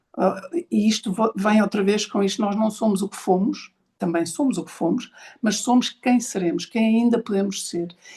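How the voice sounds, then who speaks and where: Speaking with a European Portuguese accent, a woman at medium pitch has a somewhat breathy, dark, mellow tone, ordinary pitch variation, a moderate pace and big swings in loudness. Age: 60s. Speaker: podcast host and speaker on ageing. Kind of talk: online talk session. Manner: halting, with many repetitions.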